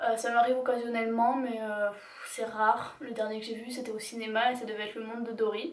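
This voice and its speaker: With monotone, flat intonation, a woman talks at a fairly high pitch. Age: 20s. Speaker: YouTuber. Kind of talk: casual talk to camera.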